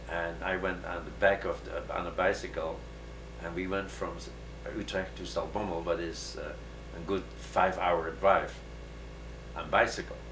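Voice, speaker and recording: Against noticeable background noise and audible room echo, a man with a very deep, low pitch talks at a moderate pace with very wide pitch swings and long, frequent pauses. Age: 60s. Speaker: Holocaust survivor. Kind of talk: interview. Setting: at home. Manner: halting.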